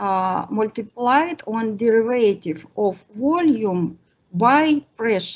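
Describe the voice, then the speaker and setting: Her fairly high pitch and lively intonation carry through as this woman speaks at a very slow pace. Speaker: mathematics lecturer. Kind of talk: lecture. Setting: online workshop. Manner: halting.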